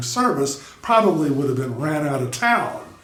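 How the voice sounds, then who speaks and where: There is audible room echo and noticeable background noise. A man speaks at a moderate pace, with lively intonation and a fairly high pitch. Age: 60s. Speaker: YouTuber and drummer. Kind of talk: commentary monologue. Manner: casual, with filler words.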